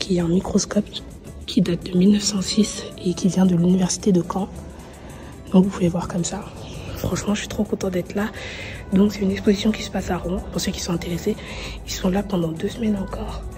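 Over clear background music, a woman speaks at a fairly quick pace in a monotone, flat intonation. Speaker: vlogger. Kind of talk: casual vlog chat. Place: hall. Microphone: phone near.

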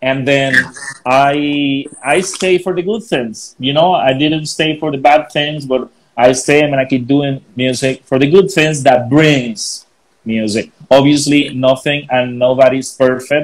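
A man at a fairly high pitch and fairly slow pace, with ordinary pitch variation. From Colombia. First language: Spanish. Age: 40s. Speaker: DJ and music producer; DJ. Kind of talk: casual interview. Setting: video call. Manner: animated. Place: home room. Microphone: earbuds.

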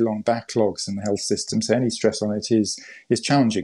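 Fairly quick pace against a quiet background. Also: man. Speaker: interview guest. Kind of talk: interview answer.

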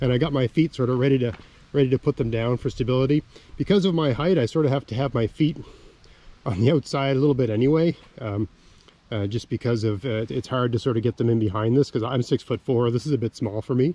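A man with a dark, mellow tone at a very fast pace, ordinary pitch variation, and a dry sound with no echo. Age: 40s. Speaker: outdoors YouTuber. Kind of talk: vlog narration. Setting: outdoors, riding a scooter on a logging road. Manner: casual, with many fillers. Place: forest.

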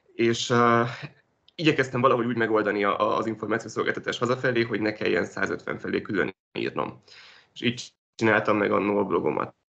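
A man talks with vocal fry and a bright, sharp tone, his pitch varying in an ordinary way. The background is quiet. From Hungary. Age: 20s. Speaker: journalist. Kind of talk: interview. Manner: halting. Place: home room. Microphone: video call.

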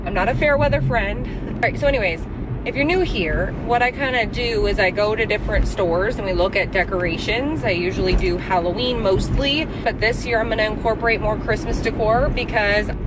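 A woman talks at a fairly quick pace over background music, the sound dry with no echo. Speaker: vlogger. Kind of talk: casual vlog chat. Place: car. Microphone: phone near.

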